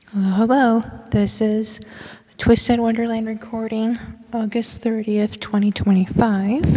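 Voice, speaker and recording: A woman speaks quietly at a fairly slow pace and a fairly high pitch. Her intonation is monotone and flat, with noticeable background noise behind her. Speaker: gameplay streamer. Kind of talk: casual gameplay commentary.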